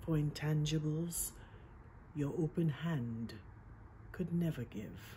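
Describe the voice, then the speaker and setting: Her very deep, low pitch carries a dark, mellow tone, and this woman sounds somewhat breathy with lively intonation. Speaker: poet. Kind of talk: poetry reading. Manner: measured, lyrical.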